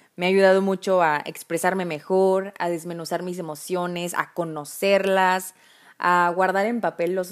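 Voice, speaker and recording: Over a very clean recording with a silent background, a woman talks at a medium pitch and a fairly slow pace. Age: 20s. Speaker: podcast host. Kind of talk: casual monologue. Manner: informal, laughs often.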